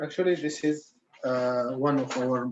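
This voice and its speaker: The speaker is a man with a medium pitch. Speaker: beach site manager. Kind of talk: conference presentation. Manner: halting.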